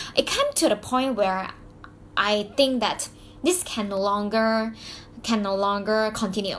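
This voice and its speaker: Pausing long and often, a woman with a Mandarin accent speaks at a fairly slow pace, her fairly high voice showing ordinary pitch variation. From Malaysia (Malaysian Chinese). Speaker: YouTuber, business coach. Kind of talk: personal story vlog. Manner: halting, many fillers and restarts; animated.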